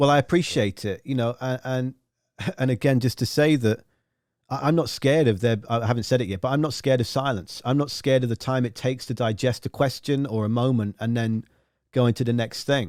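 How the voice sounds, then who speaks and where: With a southern English accent, a man speaks at a fairly quick pace and medium pitch with fairly even intonation, in a dry, close sound with no echo. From southern England. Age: 30s. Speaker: radio host and music journalist. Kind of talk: casual interview. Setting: live online video stream.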